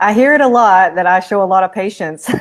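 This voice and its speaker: At a fairly quick pace, a woman with a normal speaking voice, a medium pitch and ordinary pitch variation speaks. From Arkansas, US South. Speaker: Senate candidate, attorney. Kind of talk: interview.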